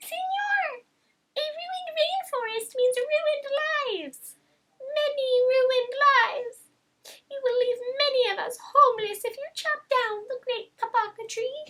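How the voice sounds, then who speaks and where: A woman's squeaky put-on character voice at an extremely high pitch and fairly slow pace. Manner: pleading.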